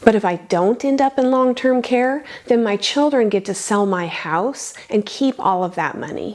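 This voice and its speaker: A woman with an ordinary speaking voice, a moderate pace and ordinary pitch variation. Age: 50s. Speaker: personal finance youtuber. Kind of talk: scripted narration.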